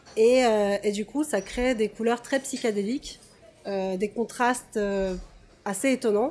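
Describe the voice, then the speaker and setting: A woman at a fairly high pitch and fairly slow pace, with fairly even intonation and long, frequent pauses. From Russia. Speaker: toy photographer. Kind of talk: casual interview.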